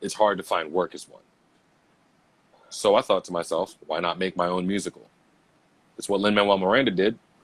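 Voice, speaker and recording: A man at a moderate pace, with big swings in loudness and long, frequent pauses. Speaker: aspiring musical theatre performer. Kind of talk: motivational talk on livestream podcast.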